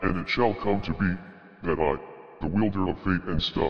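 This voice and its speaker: Over light background noise, a man puts on a character voice with a very deep, low pitch at a moderate pace. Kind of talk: comedic monologue. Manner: mock-grandiose, interrupted by casual filler.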